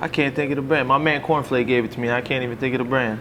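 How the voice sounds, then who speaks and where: Delivered at a very fast pace, the speech has an American accent and monotone, flat intonation. Noticeable background noise runs underneath. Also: man. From US Northeast, North Jersey. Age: 30s. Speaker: boxer. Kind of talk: casual interview.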